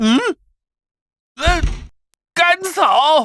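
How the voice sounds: In a cartoonish character voice, the delivery is very slow and the tone bright and sharp. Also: lively intonation.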